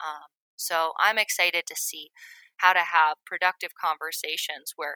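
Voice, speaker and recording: In an American accent, a bright, sharp voice moves at a fairly slow pace with ordinary pitch variation, in a dry, close sound with no echo. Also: woman. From US Northeast (western Maine). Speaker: wilderness nonprofit director. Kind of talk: interview conversation. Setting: home office, remote interview.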